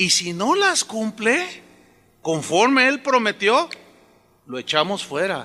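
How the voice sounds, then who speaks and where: A raised, projected voice at a fairly slow pace, with very wide pitch swings. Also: man. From Mexico. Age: 60s. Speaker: pastor. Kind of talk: sermon. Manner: conversational, with repetitions.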